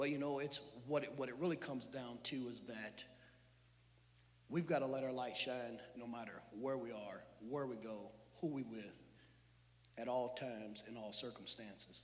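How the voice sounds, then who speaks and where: At a moderate pace, a man speaks with long, frequent pauses in a room with audible echo. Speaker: church speaker. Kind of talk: sermon. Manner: loud; animated.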